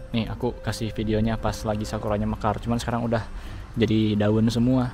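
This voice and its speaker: Over background music and audible room echo, a man speaks at a very fast pace with a fairly low pitch. His delivery is monotone and flat, his loudness very even. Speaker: caregiver in Japan and video creator. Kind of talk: casual vlog talk. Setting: outdoors in a city park. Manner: subdued, not speaking out fully.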